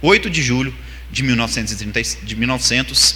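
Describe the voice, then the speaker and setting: Speaking fairly quickly, a man's voice carries audible room echo over noticeable background noise. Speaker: spiritist lecturer. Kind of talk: religious seminar lecture. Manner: fast.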